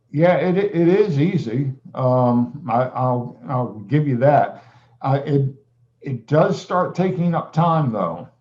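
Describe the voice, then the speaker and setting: A somewhat breathy man with a fairly high pitch, lively intonation and a very slow pace. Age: 60s. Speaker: music teacher and producer. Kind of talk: casual interview chat. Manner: halting.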